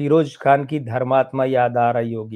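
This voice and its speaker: The speaker is a man. His tone is dark and mellow. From Rajasthan, India. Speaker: film history storyteller. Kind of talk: storytelling monologue. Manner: conversational, with self-corrections.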